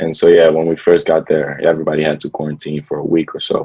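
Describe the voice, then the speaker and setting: A man talks at a fairly quick pace. He has a slight non-native accent. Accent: slight foreign. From Belgium. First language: Dutch. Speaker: college basketball player. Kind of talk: casual interview.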